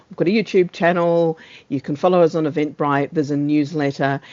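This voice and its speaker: The speaker has a New Zealand accent. The pace is fairly quick. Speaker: meeting host, service owner for transport data. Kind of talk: online meeting facilitation. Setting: video call. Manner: fast.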